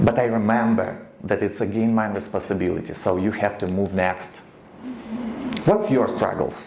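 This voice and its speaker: A man with a Ukrainian accent speaks at a moderate pace in a fairly low pitch, his intonation fairly even. The room echo is audible and background noise is noticeable. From eastern Ukraine. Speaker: radio founder and producer. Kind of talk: speech to an audience. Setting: stage with audience. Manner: halting.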